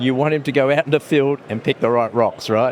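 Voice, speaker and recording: A man with an Australian accent speaks at a fairly high pitch and a fairly quick pace, with ordinary pitch variation. Noticeable background noise runs behind him. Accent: Australian (Ocker). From England, Italy, then Australia and New Zealand. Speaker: mining company executive. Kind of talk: interview. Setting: conference lounge.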